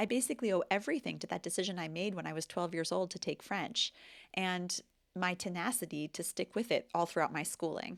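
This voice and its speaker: Speaking with an American accent at a fairly quick pace, the voice has vocal fry and ordinary pitch variation, in a dry, close sound with no echo and a very clean recording with a silent background. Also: woman. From United States. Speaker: English teacher and language vlogger. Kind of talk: vlog monologue. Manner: conversational.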